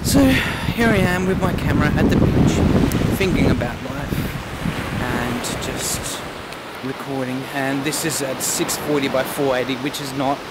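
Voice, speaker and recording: A woman speaks at a very slow pace. The sound is dry with no echo, and there is loud background noise. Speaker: vlogger. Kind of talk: vlog monologue. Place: beach. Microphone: phone near.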